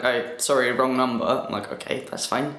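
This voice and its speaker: A medium-pitched man at a fairly quick pace, with noticeable background noise and audible room echo. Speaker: vlogger. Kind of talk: casual vlog. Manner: casual, halting.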